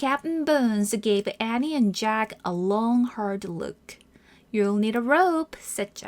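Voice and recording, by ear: The voice is reading aloud in a natural voice.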